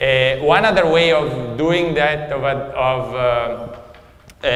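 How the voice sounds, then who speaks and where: A man talks in a fairly high pitch with ordinary pitch variation. Audible room echo and noticeable background noise sit behind him. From Italy. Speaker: economist, guest lecturer. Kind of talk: lecture. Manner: hesitant, many fillers.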